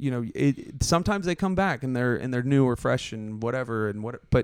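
A man with an ordinary speaking voice at medium pitch talks at a fairly quick pace. Ordinary pitch variation, with a dry, close sound and no echo. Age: 30s. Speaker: podcast host and comedian. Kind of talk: casual chat.

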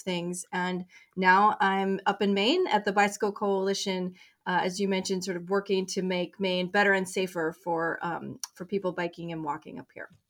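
A woman with an American accent speaks at a moderate pace with monotone, flat intonation. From Colorado. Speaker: nonprofit director. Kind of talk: interview.

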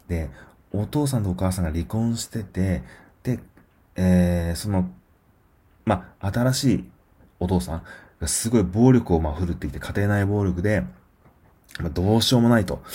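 A man speaks at a moderate pace in a very deep, low voice with a dark, mellow tone, somewhat breathy, leaving long, frequent pauses. The recording is very clean, with a silent background. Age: 40s. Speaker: podcast host reviewing films. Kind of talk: solo film review podcast. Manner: frequent fillers and hesitations.

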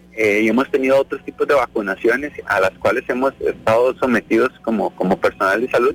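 A man's fairly quick speech with hardly any pauses and very even loudness, in a dry, close sound with no echo. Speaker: doctor. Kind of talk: radio interview.

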